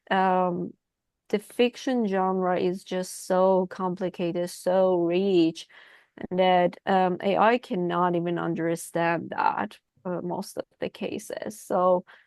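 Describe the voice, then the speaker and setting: A woman with a Persian accent speaks at a very slow pace over a quiet background. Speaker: writing group member. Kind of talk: casual group discussion.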